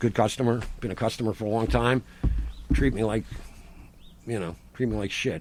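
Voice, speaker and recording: A man with a fairly low pitch and vocal fry talks at a fairly quick pace with ordinary pitch variation and long, frequent pauses. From Rhode Island. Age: 60s. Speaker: farmer. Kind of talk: casual chat. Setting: outdoors. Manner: animated.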